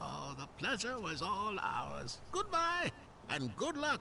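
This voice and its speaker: Putting on a character voice, a man speaks at a fairly slow pace over clear background noise. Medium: video game. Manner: playful, cheeky.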